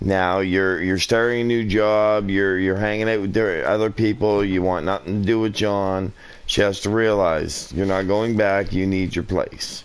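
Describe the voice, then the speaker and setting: A man's fairly low, monotone, flat voice at a moderate pace, with very even loudness and noticeable background noise. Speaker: parent. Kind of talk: casual chat.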